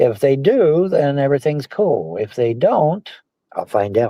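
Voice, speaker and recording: A man's fairly high voice, dark and mellow in tone, with very wide swings in pitch. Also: dry, close sound with no echo. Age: 60s. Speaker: livestream personality. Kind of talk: casual chat.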